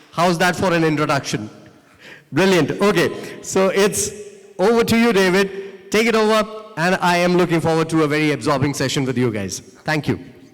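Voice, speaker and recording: A man speaks at a moderate pace with ordinary pitch variation. Noticeable background noise and audible room echo fill the recording. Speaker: event emcee. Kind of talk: stage introduction. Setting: conference stage with audience. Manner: enthusiastic.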